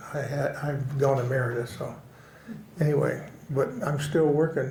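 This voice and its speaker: Audible room echo surrounds a man speaking at a fairly high pitch with monotone, flat intonation. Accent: American. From Oklahoma. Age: 80s+. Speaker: western artist. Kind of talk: casual interview conversation. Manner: halting, with many fillers and repetitions.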